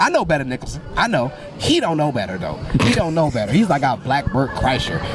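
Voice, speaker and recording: A man's fairly high voice at a very fast pace, over noticeable background noise. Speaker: comedian, podcast host. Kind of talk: casual podcast conversation.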